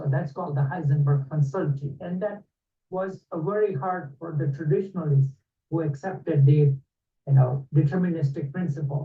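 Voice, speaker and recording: A man's fairly high-pitched voice has a dark, mellow tone and is somewhat breathy. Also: ordinary pitch variation. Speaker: lecturer. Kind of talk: lecture. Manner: fast.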